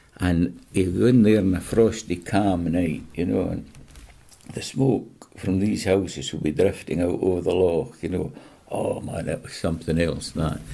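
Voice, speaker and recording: A man speaks at a moderate pace with a very deep, low pitch, ordinary pitch variation, and a West Highland Scottish accent. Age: 70s. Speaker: interviewee, retired fisherman. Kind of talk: casual chat.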